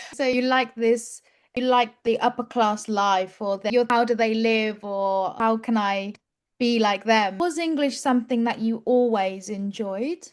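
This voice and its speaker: A woman with an unremarkable speaking voice talks at a fairly slow pace against a quiet background. Her pitch is fairly high, with ordinary pitch variation. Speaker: English teacher. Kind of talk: interview.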